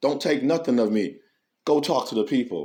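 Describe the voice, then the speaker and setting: A man with vocal fry and a dark, mellow tone at a moderate pace. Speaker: spiritual YouTube speaker. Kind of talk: spiritual monologue. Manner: halting; unusual delivery, once mistaken for drunk.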